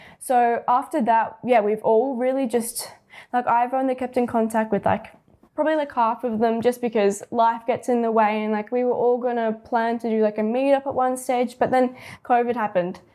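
A woman speaks with an Australian accent at a high pitch. Her intonation is monotone and flat. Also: moderate pace, very clean recording, silent background. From Australia, Penrith (western Sydney). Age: 18. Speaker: young photographer and videographer. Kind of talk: casual interview chat. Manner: laughs often.

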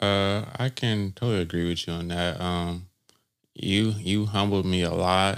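A man speaks at a fairly slow pace in a plain, everyday voice. The recording is very clean, with a silent background. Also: fairly low pitch for a man, fairly even intonation. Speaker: former student. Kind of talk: casual chat.

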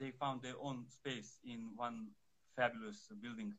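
A man with a Serbian accent at a medium pitch, moderate pace and fairly even intonation. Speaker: fencing instructor. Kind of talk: interview. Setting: phone livestream. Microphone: too quiet.

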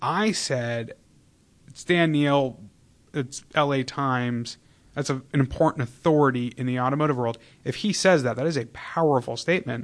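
Against a quiet background, a man with a plain, everyday voice talks at a moderate pace, his pitch fairly high with ordinary variation. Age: 20s. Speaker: podcast host. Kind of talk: interview.

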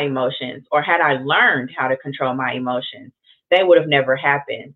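A woman speaks with ordinary pitch variation. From US Midwest, Kansas City. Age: 30s. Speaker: podcast host. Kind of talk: solo podcast monologue.

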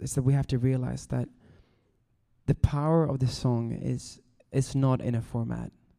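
A man's medium-pitched voice, dark and mellow in tone, at a fairly slow pace. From Sweden. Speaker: worship leader and songwriter. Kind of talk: talk to students. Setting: live in front of a room of students.

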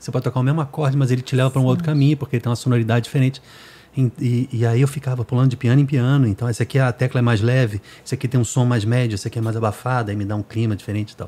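A man's medium-pitched, somewhat breathy voice with a dark, mellow tone, very fast and fairly even in intonation. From Brazil, Rio de Janeiro. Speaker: music producer and podcast host. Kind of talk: casual chat.

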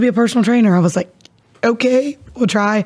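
The speaker is a woman with an American accent, in a plain, everyday voice. She talks at a fairly quick pace. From Ohio (Caldwell). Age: 20s. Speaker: gym owner, fitness instructor. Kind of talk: casual interview chat.

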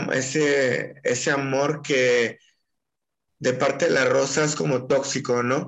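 This man's voice sits fairly high in pitch, with fairly even intonation. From Mexico, Puerto Vallarta (Jalisco). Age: 30s. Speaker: poet. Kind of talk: interview.

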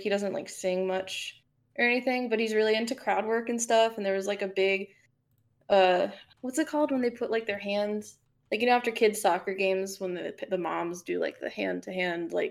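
A woman's fairly high voice, a normal speaking voice, at a fairly quick pace. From South Florida, Fort Lauderdale area. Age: 20s. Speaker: indie game developer and composer. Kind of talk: casual chat.

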